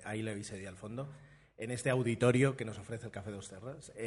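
A man with a medium pitch and ordinary pitch variation sounds somewhat breathy. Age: 30s. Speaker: podcast host. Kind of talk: casual chat. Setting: café.

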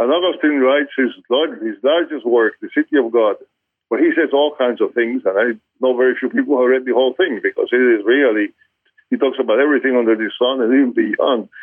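With a Spanish accent, a man delivers his words at a fairly quick clip. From Cuba. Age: 80s+. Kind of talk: interview.

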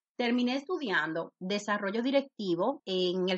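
A woman talks fairly slowly at a medium pitch. Her pitch varies in an ordinary way. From Dominican Republic, Santo Domingo. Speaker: immigration lawyer. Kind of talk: podcast monologue.

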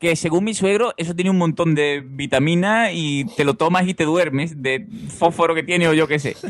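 A man speaks in a high voice with ordinary pitch variation, the sound dry and close with no echo. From Seville, Andalusia. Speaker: podcaster. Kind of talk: casual chat.

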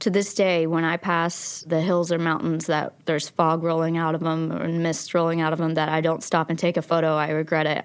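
A woman's fairly low voice with an Appalachian accent, flat and monotone, fairly quick and with hardly any pauses. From West Virginia, Logan. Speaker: documentary filmmaker. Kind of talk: interview.

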